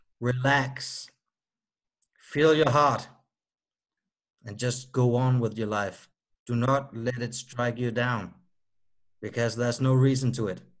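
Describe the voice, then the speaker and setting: A man with a Danish accent speaks at a very slow pace, leaving long, frequent pauses. His medium-pitched voice keeps a fairly even intonation. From Denmark. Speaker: musician with myasthenia gravis. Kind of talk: interview.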